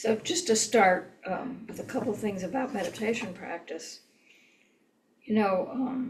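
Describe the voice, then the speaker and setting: A woman speaks at a fairly slow pace in a fairly high pitch. Her intonation is lively and her voice somewhat breathy. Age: 70s. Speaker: meditation teacher. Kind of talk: lecture. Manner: hesitant, many fillers.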